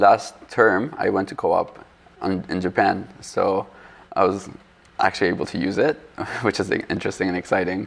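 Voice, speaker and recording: A man with a non-native accent speaks at a moderate pace, leaving long, frequent pauses. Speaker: architecture student. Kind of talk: casual interview. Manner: halting.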